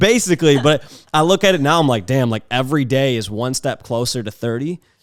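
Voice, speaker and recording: A normal speaking voice from a man, medium in pitch, lively in intonation, at a fairly quick pace. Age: 20s. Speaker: podcast host and photographer. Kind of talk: casual chat. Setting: home studio with cameras. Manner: casual, lots of filler words.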